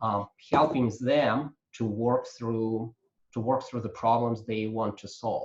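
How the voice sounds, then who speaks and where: Somewhat breathy delivery at a fairly slow pace. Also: man. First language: not English. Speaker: coaching trainer. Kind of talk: lecture. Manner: halting, many fillers.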